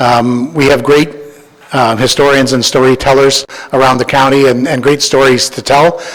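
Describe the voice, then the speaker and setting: A man with a Canadian accent speaks in a fairly high pitch and a monotone, flat delivery over noticeable background noise. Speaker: historical society volunteer presenting a project. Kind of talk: presentation to county council. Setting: council meeting chamber. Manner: fast; halting, many repeated words and fillers.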